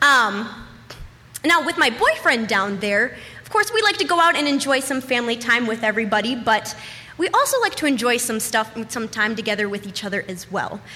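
Speaking fairly quickly, a woman uses a fairly high pitch and lively intonation. Her loudness swings widely, and background noise is noticeable. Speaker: storyteller. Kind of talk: stand-up. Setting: stage with audience.

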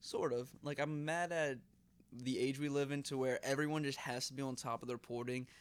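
On a very clean recording with a silent background, a man speaks at a fairly quick pace in a fairly high pitch, with monotone, flat intonation. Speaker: podcast co-host. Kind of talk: casual chat.

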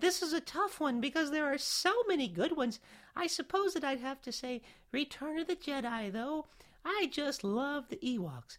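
A female-sounding voice speaks at a high pitch and a moderate pace. It is a put-on character voice. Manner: imitating sister.

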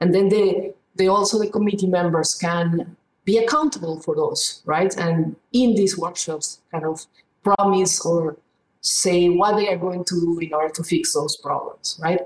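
Her voice is a woman's medium pitch with ordinary pitch variation. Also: moderate pace. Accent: Spanish. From Peru. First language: Spanish. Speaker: economics professor. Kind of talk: interview. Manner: halting, with repeated words.

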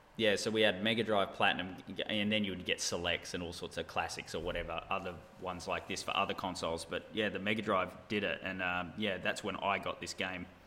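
A man with an Australian accent speaks at a fairly quick pace in a fairly low pitch, with a bright, sharp tone and flat, monotone intonation. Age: 30s. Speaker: gamer. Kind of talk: casual chat.

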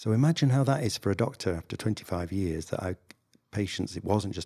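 Talking very fast with lively intonation, a man with a northern English accent has a very deep, low pitch and a dark, mellow tone, on a very clean recording with a silent background. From northern England. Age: 60s. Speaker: general practitioner. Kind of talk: interview, conversational.

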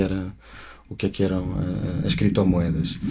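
A man at a moderate pace. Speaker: cryptocurrency project ambassador. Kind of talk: interview. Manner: halting.

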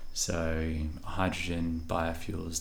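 A man with an Australian accent, fairly even intonation and audible room echo. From Western Australia (Bunbury, Perth). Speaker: engineer and restaurant founder. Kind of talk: interview conversation. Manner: considered, measured.

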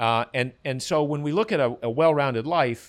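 A man talks at a moderate pace in a plain, everyday voice, with ordinary pitch variation. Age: 60s. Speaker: health author and former endurance runner. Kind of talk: casual interview.

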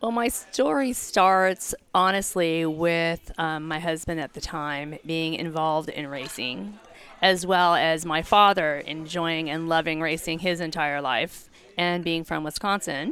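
A woman talks at a fairly slow pace in a fairly low pitch. Hers is an unremarkable speaking voice. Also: ordinary pitch variation. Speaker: ticket sales director. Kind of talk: casual chat.

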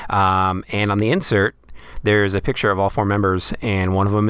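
Over a silent background in a very clean recording, a man with an American accent speaks at a fairly quick pace in a fairly low pitch. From Western New York. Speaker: radio host. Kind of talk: casual chat. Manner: hesitant, filler-heavy.

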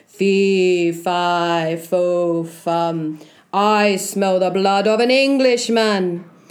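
Using a put-on character voice, a female-sounding speaker rumbles at a middle pitch and a very slow pace, with audible echo.

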